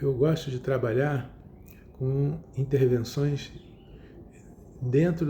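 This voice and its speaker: In a room with audible echo, a man talks at a medium pitch with a dark, mellow tone that is somewhat breathy. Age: 70s. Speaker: psychotherapist. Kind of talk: lecture. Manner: halting.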